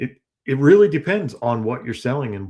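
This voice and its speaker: This is an ordinary speaking voice from a man at a medium pitch and a moderate pace. The recording is very clean, with a silent background. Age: 50s. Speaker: reseller and YouTuber. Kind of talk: casual chat.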